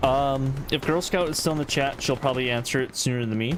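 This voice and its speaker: Loud speech over noticeable background noise. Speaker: game streamer and caster. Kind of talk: live game commentary; casual Q&A with chat.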